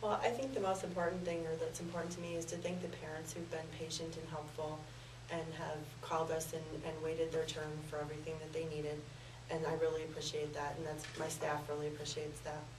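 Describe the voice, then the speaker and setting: Against noticeable background noise, a woman with a very deep, low pitch speaks at a very fast pace with fairly even intonation. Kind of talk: interview answer. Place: studio.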